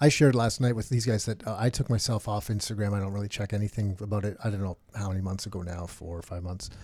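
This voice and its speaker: A man with a fairly low pitch talks at a very fast pace in a dark, mellow tone that is somewhat breathy. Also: ordinary pitch variation, hardly any pauses, very clean recording, silent background. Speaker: real estate podcast co-host. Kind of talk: casual chat.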